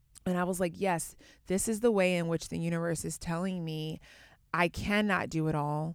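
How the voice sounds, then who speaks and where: A woman with an ordinary speaking voice talks at a moderate pace, her fairly low pitch held in fairly even intonation. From US, Atlanta (born in Baltimore). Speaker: yoga teacher and entrepreneur. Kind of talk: casual chat.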